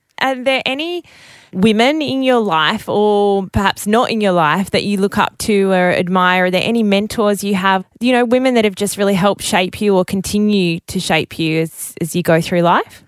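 Hardly pausing at all, a woman talks at a moderate pace. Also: medium pitch for a woman, ordinary pitch variation. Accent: Australian. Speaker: radio network executive interviewer. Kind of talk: casual interview.

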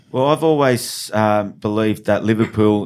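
A fairly low-pitched man with an Australian accent, fairly slow pace, and ordinary pitch variation on a very clean recording with a silent background. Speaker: union branch secretary. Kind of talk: interview. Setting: studio.

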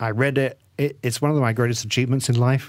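Here a man with an English accent speaks at a fairly quick pace in a medium pitch. The recording is very clean with a silent background. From England. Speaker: author. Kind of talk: interview.

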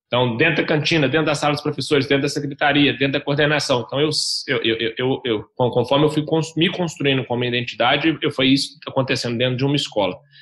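A man's fairly high pitch at a very fast pace, with hardly any pauses, fairly even intonation and very even loudness. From Belo Horizonte, Minas Gerais, Brazil. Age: 30s. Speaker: startup founder. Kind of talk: interview.

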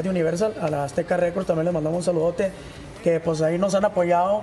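Over noticeable background noise, a man talks very fast in a high-pitched voice. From Chihuahua, northern Mexico. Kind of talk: TV interview.

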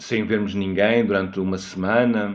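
A man's intonation stays fairly even while he talks at a moderate pace. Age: 50s. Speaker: mountaineer. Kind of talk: interview. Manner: halting.

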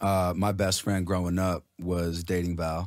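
A man with an American accent talks in a very deep, low voice with monotone, flat intonation. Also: very clean recording, silent background. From Los Angeles, Iranian family. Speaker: musician and producer. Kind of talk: casual radio interview.

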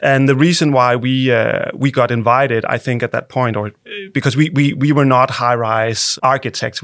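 On a very clean recording with a silent background, a man with a Danish accent speaks at a fairly quick pace, medium pitch, and fairly even intonation. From Denmark. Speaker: architect. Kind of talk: interview. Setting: studio. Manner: halting, many repeated words.

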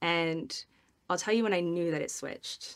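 With an American accent, a woman talks at a fairly quick pace in an unremarkable speaking voice, her pitch fairly low with ordinary variation, on a very clean recording with a silent background. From US Midwest. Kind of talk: interview.

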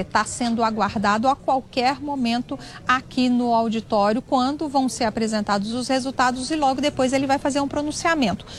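A woman with a high pitch talks at a moderate pace, her pitch varying in an ordinary way, while noticeable noise sits in the background. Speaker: political reporter. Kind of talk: news report. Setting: auditorium.

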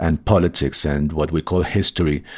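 The recording is very clean, its background silent. A man talks with a Spanish accent. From Colombia. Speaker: novelist. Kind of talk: interview.

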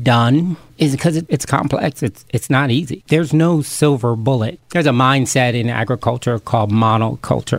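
Using a normal speaking voice, a man of medium pitch talks at a moderate pace with hardly any pauses, ordinary pitch variation and very even loudness. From Camden, New Jersey. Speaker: chef and urban farm founder. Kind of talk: interview.

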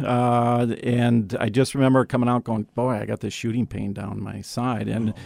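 An ordinary speaking voice from a man with an American accent, medium in pitch and fairly slow, in a very clean recording with a silent background and a dry, close sound with no echo. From Wisconsin. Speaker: judge and parent. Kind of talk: casual interview.

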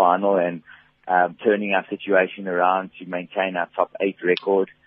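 A man talks at a moderate pace in an ordinary speaking voice. His pitch is fairly low. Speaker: football club CEO. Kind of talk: radio interview. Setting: phone call.

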